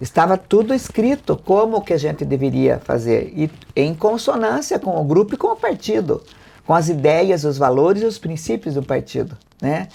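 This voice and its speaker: Speaking at a moderate pace, a woman with a fairly low pitch and a dark, mellow tone shows vocal fry and very wide pitch swings. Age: 70s. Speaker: mayor and election candidate. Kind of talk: political interview.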